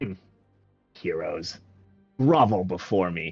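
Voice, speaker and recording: A man puts on a raspy character voice at a fairly low pitch, with lively intonation and a fairly slow pace. Faint music plays in the background. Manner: disdainful, commanding.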